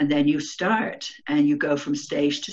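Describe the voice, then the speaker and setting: A woman's very deep, low voice in an English accent, fairly slow, with ordinary pitch variation. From England. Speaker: remote viewer. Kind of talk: interview. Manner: halting, many fillers.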